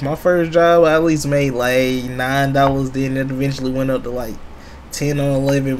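Light background noise sits behind a man speaking at a moderate pace with fairly even intonation. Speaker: streamer reacting to a video. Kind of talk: casual reaction commentary.

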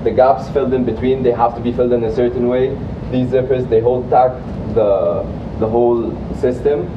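With an Arabic accent, a man talks at a moderate pace in a monotone, flat intonation and a medium pitch, against noticeable background noise. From Egypt. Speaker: recent graduate giving a talk about his internship. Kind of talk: motivational lecture. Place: classroom.

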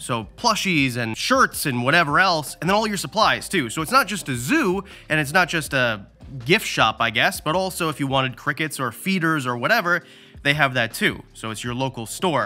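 Faint music plays in the background. The speech keeps a moderate pace. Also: man. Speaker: reptile youtuber. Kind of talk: casual vlog tour commentary. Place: shop. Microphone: phone near.

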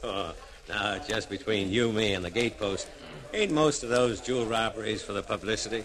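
Noticeable background noise runs under fairly quick speech with ordinary pitch variation. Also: man. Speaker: actor playing a police officer. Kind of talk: radio drama dialogue. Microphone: old recording.

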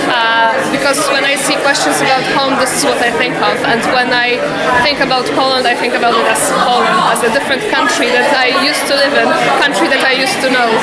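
A woman speaking at a fairly quick pace amid loud background noise. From Poland. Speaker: community participant. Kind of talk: interview testimony. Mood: reflective, gentle. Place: hall.

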